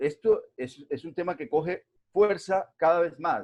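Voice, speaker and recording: The speaker has a Colombian accent. The pace is fairly slow. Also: man. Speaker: invited lecturer on regional development. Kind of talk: lecture. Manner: hesitant, many fillers.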